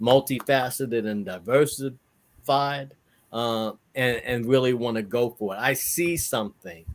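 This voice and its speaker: Heard in a very clean recording with a silent background, a man with an American accent speaks at a fairly slow pace. His medium pitch shows ordinary variation. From New York (New Rochelle). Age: 60s. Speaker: entrepreneur and educator. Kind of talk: interview. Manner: halting.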